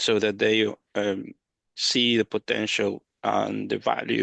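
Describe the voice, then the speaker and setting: A man with a non-native accent is heard against a quiet background in a dry, close sound with no echo. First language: not English. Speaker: regional government education manager. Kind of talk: panel discussion.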